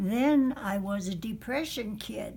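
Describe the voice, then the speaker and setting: A somewhat breathy woman at medium pitch, very slow in pace, with ordinary pitch variation. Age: 90s. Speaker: elderly woman telling her life story. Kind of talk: oral history interview. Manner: hesitant, many fillers.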